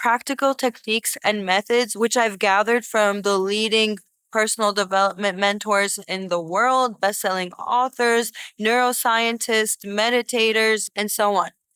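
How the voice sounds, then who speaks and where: In a very clean recording with a silent background and a dry, close sound with no echo, a woman with a Boston accent speaks at a moderate pace with a fairly high pitch, a bright, sharp tone, monotone, flat intonation and very even loudness. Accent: American, Boston area. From Boston, US. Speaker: podcast host, manifesting coach. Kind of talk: casual monologue. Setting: indoors.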